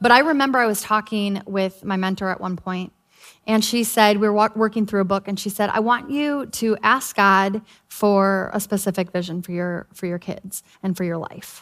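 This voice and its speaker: On a very clean recording with a silent background, a woman has an ordinary speaking voice at medium pitch, with ordinary pitch variation and a moderate pace. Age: 40s. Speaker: pastor's wife and co-preacher. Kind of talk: sermon.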